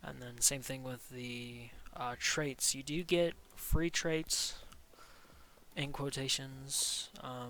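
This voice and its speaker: A man's bright, sharp voice at a very slow pace, with long, frequent pauses, big swings in loudness and fairly even intonation. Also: medium pitch for a man. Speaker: gaming YouTuber. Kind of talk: game review commentary. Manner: monotone; hesitant with filler words.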